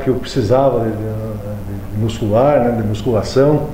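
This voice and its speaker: With audible room echo and noticeable background noise, a man talks at a moderate pace and with fairly even intonation. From Paraná, Brazil. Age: 60s. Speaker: amateur triathlete and physical education teacher. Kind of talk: interview.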